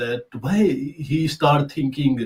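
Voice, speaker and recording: With a Pakistani accent, a man speaks very slowly in a somewhat breathy, fairly high-pitched voice. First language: Urdu. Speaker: talk show host. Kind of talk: casual discussion. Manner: halting.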